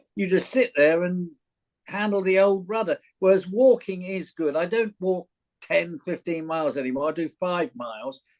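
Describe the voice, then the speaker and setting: A man with a southern English accent speaks with lively intonation. His pitch is high. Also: moderate pace, dry, close sound with no echo. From London. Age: 70s. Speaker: retired actor and teacher. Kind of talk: interview. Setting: recorded podcast.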